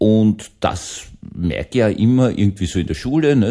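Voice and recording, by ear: Fairly low male voice with a dark, mellow tone, vocal fry and lively intonation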